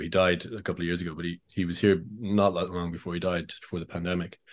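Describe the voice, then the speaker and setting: This man's voice sits very deep and low. The recording is very clean against a silent background. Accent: Irish. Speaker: author. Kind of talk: interview.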